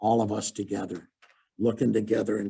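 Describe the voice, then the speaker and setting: This man talks at a moderate pace, his tone dark and mellow and somewhat breathy. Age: 70s. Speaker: motivational speaker. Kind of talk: webinar talk. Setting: webinar.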